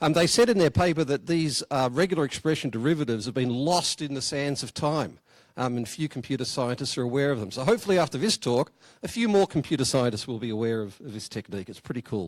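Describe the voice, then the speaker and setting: This man talks at a very fast pace with a fairly high pitch and lively intonation. He speaks with an Australian accent. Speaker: software engineer. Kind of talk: conference talk. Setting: conference room with audience. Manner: hesitant, many fillers.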